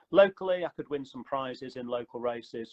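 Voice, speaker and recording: A man talks in an ordinary speaking voice at a moderate pace with ordinary pitch variation. The sound is dry and close, with no echo. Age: 60s. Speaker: running company founder. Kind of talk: interview.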